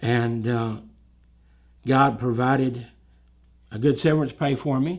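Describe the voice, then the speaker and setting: At a fairly slow pace with long, frequent pauses, a man speaks at medium pitch with fairly even intonation. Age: 60s. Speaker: church musician. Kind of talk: testimony. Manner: halting.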